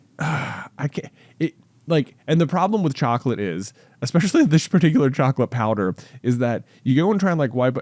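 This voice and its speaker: The speaker sounds animated, with very wide pitch swings and a fairly quick pace, on a very clean recording with a silent background. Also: man. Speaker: podcast co-host. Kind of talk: casual chat. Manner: animated, halting.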